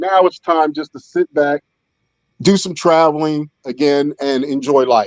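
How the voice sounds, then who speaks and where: Recorded with a dry, close sound and no echo, an unremarkable speaking voice moves at a fairly slow pace with an American accent. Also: man, fairly high pitch for a man. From Philadelphia, US. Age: 60s. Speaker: air force veteran. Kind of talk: casual chat.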